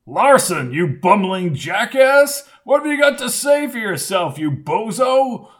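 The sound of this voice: Putting on a character voice, a man speaks fairly slowly at a high pitch with big pitch swings and a fairly bright tone.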